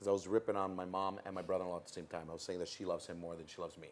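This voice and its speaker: A man with a Toronto accent speaks in an animated tone. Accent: Canadian English (Toronto). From Toronto, Canada, Italian-Calabrian family. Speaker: MC and comedian. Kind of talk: interview.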